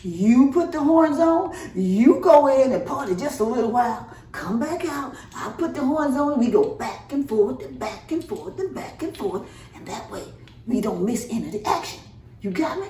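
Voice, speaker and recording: A high-pitched, put-on character voice at a moderate pace, with slight echo and light background noise. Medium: read story. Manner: excited, folksy.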